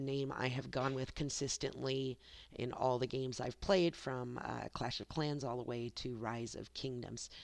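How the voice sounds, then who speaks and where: A woman with a very deep, low pitch talks at a fairly slow pace. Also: quiet background. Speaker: gaming youtuber. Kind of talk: gameplay commentary.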